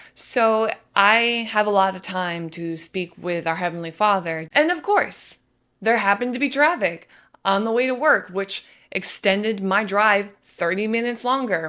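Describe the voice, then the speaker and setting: In a very clean recording with a silent background, a bright, sharp voice moves at a moderate pace with lively intonation. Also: woman. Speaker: faith vlogger. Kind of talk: personal testimony.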